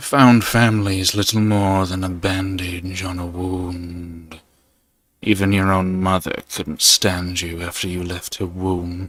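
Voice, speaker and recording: In a put-on character voice, a man talks at a fairly slow pace. His pitch is very deep and low. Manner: cruel, taunting.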